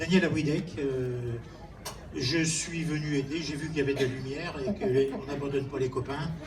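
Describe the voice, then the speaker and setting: Through noticeable background noise and audible room echo, a man speaks at a moderate pace with fairly even intonation and fairly high pitch. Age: 60s. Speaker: retired hotel-school teacher and cook. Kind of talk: self-introduction.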